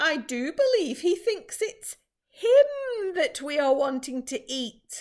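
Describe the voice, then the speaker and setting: Gentle put-on character voice from a woman, extremely high-pitched with very wide pitch swings, at a fairly slow pace. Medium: read story. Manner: kind, gentle.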